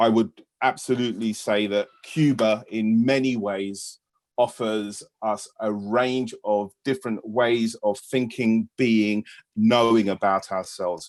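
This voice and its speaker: With a British accent, a man speaks very slowly at a medium pitch and with fairly even intonation. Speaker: British teacher on union delegation to Cuba. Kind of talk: panel talk on video webinar. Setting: video call.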